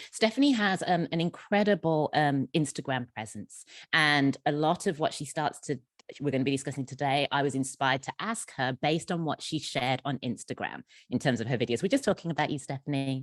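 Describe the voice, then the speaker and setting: A woman with a very deep, low pitch and an English accent, fairly quick in pace, in a dry, close sound with no echo. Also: ordinary pitch variation. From England. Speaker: network leader and moderator. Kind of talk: panel interview. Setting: video call.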